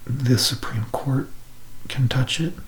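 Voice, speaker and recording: Over noticeable background noise, a soft-spoken man at medium pitch talks in a monotone, flat intonation. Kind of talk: ASMR educational talk on history and civics.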